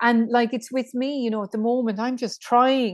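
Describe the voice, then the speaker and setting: The speaker talks with an Irish accent. The background is quiet. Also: woman. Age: 50s. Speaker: menopause coach. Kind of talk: casual chat.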